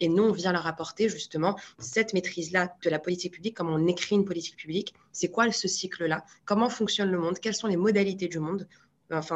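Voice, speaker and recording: A woman talks in a normal speaking voice at a fairly low pitch. She keeps a fairly quick pace and fairly even intonation. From Morocco, Marrakech. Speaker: public policy incubator co-founder. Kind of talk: interview conversation.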